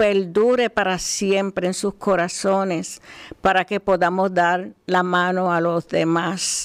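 At a very slow pace, a woman of medium pitch speaks in a monotone, flat intonation. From Puerto Rico, rural. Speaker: host's wife, co-presenter. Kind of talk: casual chat on radio. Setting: radio studio.

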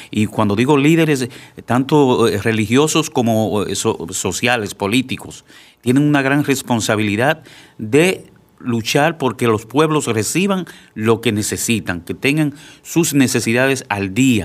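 A man with an ordinary speaking voice, medium in pitch, with lively intonation and a fairly slow pace, in a very clean recording against a silent background. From Dominican Republic (Santiago). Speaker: deacon. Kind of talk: radio talk show. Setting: studio.

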